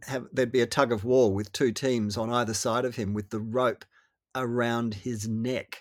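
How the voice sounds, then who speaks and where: A man with an Australian accent talks at a fairly quick pace in a medium pitch. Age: 60s. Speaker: author and former radio host. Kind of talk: interview.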